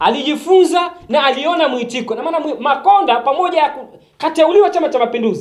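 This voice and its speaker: Speaking at a fairly quick pace, a man is heard with audible room echo. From Tanzania. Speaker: political activist commentator. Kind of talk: political monologue to camera. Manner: animated. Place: studio.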